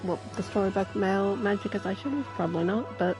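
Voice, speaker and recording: A woman talks at a fairly quick pace in a medium pitch with very wide pitch swings. Music plays in the background. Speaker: streamer. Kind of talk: casual live-stream gameplay commentary.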